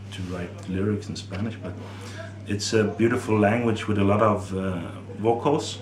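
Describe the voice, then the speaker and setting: Monotone, flat intonation with a Norwegian accent at a moderate pace, with music in the background and audible room echo. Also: man. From Norway. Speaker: metal musician and songwriter. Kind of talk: interview. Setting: music festival. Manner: hesitant, with fillers.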